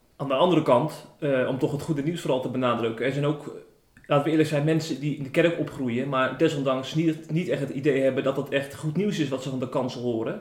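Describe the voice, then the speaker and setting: Fairly high-pitched, a man talks with fairly even intonation. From Zeeland, Tholen. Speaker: podcast host. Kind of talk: interview. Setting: at the pastor's home.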